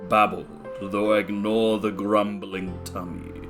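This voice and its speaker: Over clear music in the background, a woman uses a put-on character voice with a very deep, low pitch. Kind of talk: video game character voice.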